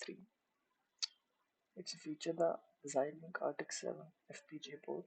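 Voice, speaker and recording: Soft-spoken delivery at a moderate pace. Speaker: electronics tutorial presenter. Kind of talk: tutorial. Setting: library.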